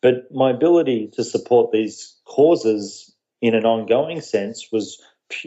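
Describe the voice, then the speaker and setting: Ordinary pitch variation marks a man speaking at a moderate pace with an Australian accent. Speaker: social media marketing entrepreneur. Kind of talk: podcast interview.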